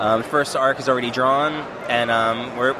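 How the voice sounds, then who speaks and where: There is noticeable background noise behind this man. He talks at a medium pitch with an American accent. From US East Coast. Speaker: comic artist and writer. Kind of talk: casual interview at a convention.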